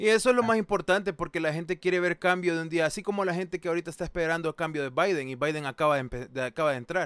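Speech comes at a very fast pace with ordinary pitch variation. The sound is dry and close, with no echo. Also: man, high pitch for a man, hardly any pauses. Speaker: streamer hosting discussion. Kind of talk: casual chat.

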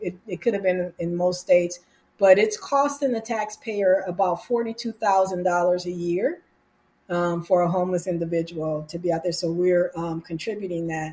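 The voice is somewhat breathy, with a dark, mellow tone. It carries an American accent and ordinary pitch variation. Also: woman, fairly low pitch for a woman, moderate pace. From California. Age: 50s. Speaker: nonprofit founder and mental health advocate. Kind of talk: interview testimony.

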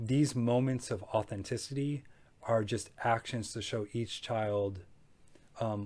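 With an American accent, a man speaks at a medium pitch in a dark, mellow tone that is somewhat breathy, with fairly even intonation. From Michigan, Macomb County. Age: 30s. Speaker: foster care charity founder. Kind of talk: interview.

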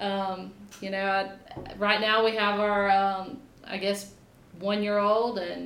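Over noticeable background noise and audible room echo, a woman with a Louisiana accent speaks at medium pitch in a flat, monotone way. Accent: Southern US, Louisiana. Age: 30s. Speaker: agricultural extension agent and farmer. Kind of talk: casual interview.

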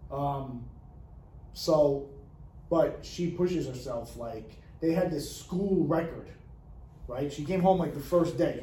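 Somewhat breathy, a man speaks at a fairly high pitch and a fairly slow pace. His intonation stays fairly even, and audible room echo is present. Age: 40s. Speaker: podcast co-host. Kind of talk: casual chat.

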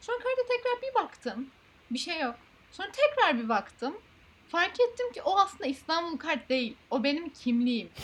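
At an extremely high pitch, a woman speaks at a moderate pace with very wide pitch swings. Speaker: podcast host. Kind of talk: casual chat.

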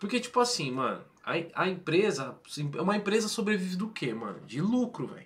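This man's voice sits high and swings very widely in pitch. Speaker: gaming channel host. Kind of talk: casual chat. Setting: live stream.

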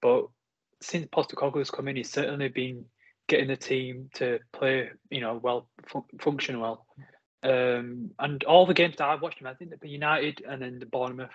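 A man with a normal speaking voice talks at a moderate pace and medium pitch, his intonation fairly even. His loudness swings widely. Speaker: Chelsea fan, guest pundit.

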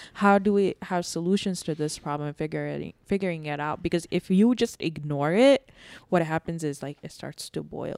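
On a very clean recording with a silent background and a dry, close sound with no echo, a woman with a plain, everyday voice and a fairly low pitch talks at a fairly quick pace with hardly any pauses, lively intonation and big swings in loudness. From New York, born in Bangladesh. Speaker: podcast co-host, mother. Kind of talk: casual chat.

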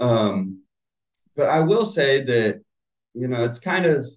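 A man has a normal speaking voice with an American accent. He talks at a fairly slow pace with lively intonation. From US South, Florida (Plant City). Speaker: real estate agent. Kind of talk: casual chat.

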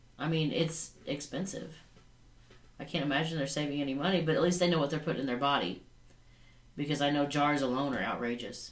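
The speaker talks at a fairly quick pace with ordinary pitch variation and long, frequent pauses, in audible room echo. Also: woman. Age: 40s. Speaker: podcast co-host. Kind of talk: casual chat.

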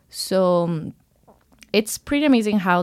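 In a Spanish accent, a woman talks with lively intonation at a fairly low pitch on a very clean recording with a silent background. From Ecuador. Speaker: college swimmer. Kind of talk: casual interview.

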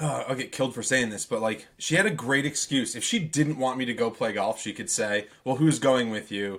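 This man talks at a medium pitch with ordinary pitch variation and a moderate pace. He has an unremarkable speaking voice and hardly any pauses. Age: 30s. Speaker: podcast co-host. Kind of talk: casual chat.

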